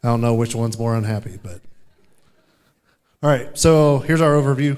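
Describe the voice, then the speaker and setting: A man with a Midwestern US accent and ordinary pitch variation. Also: medium pitch for a man, fairly quick pace. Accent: US Midwest. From Kansas, Topeka. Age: 30s. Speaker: sheriff's deputy and storm chaser. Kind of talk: conference presentation.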